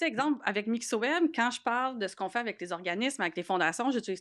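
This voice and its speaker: A woman's fairly high voice, very fast and lively in intonation. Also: quiet background. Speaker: podcast host. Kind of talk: casual chat.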